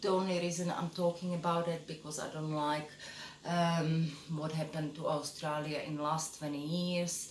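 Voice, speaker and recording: A woman with a Czech accent speaks in a very deep, low voice with flat, monotone intonation. Room echo is audible, and background noise is noticeable. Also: moderate pace. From Czechoslovakia. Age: 50s. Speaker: photographer and vlogger. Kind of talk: casual self-introduction monologue. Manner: hesitant, many fillers.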